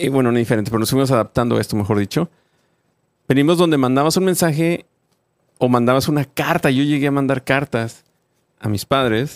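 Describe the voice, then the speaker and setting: Talking at a fairly quick pace but with long, frequent pauses, a man with medium pitch and ordinary pitch variation is heard in a dry, close sound with no echo. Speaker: podcast host. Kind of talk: casual chat.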